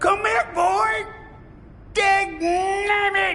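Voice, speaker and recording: A put-on character voice at an extremely high pitch, with clear background noise. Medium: video game.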